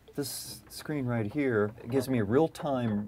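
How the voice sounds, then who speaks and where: Noticeable background noise runs under this recording. A man talks fairly slowly with ordinary pitch variation. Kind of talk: explanation to camera while working. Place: workshop.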